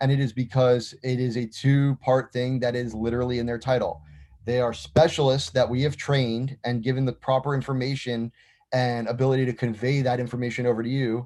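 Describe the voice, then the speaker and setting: A man with an American accent, medium pitch, a dark, mellow tone and flat, monotone intonation. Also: fairly quick pace. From US South, Miami, Florida. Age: 30s. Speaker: business executive. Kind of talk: interview. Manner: talkative; halting, many repetitions and fillers.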